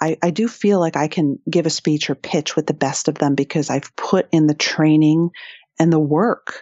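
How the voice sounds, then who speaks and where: A woman with an American accent speaks at a moderate pace. Her pitch is very deep and low, and her intonation fairly even. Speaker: author and entrepreneur. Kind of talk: interview. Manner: loud.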